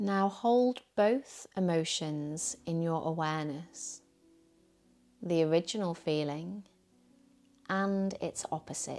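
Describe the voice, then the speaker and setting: Over music in the background, a woman speaks at a very slow pace with long, frequent pauses. Her pitch is fairly low, with ordinary pitch variation. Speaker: yoga teacher. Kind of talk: guided meditation. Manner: soothing.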